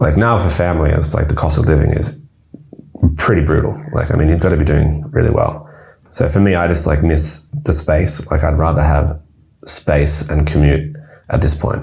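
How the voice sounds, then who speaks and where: In an Australian accent, the voice moves at a moderate pace with fairly even intonation and very even loudness. Room echo and background noise are both noticeable. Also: man, very deep, low pitch for a man. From Australia, Melbourne southeast suburbs. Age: 30s. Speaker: wine importer and shop owner. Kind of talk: casual interview.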